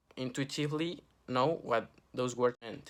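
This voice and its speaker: Against a silent background in a very clean recording, a man with a Spanish accent speaks at a medium pitch with fairly even intonation. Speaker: student. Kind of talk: class project vlog.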